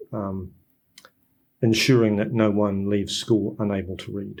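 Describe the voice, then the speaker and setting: A fairly slow delivery with fairly even intonation and a New Zealand accent. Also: man. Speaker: literacy educator and author. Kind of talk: podcast interview.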